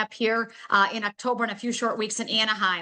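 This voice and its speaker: This is a woman's voice. Its tone is bright and sharp. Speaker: network marketing presenter, health coach. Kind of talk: sales pitch. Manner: fast; animated.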